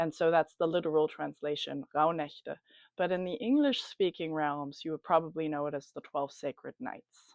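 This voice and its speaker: A woman's very deep, low voice with a German accent, at a moderate pace. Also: ordinary pitch variation. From Germany. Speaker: spiritual coach. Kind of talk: casual talk to camera about a ritual. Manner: hesitant, many fillers.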